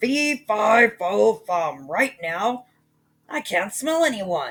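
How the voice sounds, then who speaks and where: A raspy, grumpy put-on character voice with a fairly high pitch. It moves at a very slow pace. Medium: read story.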